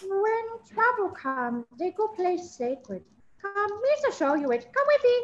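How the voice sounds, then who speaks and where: Using a put-on character voice, a woman speaks at a fairly slow pace in an extremely high pitch with very wide swings. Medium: stage play. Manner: broken Gungan pidgin speech.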